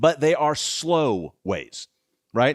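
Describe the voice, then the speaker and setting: On a very clean recording with a silent background and a dry, close sound with no echo, a man speaks in an animated tone with a fairly high voice and lively intonation. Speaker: conference speaker. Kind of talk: conference talk.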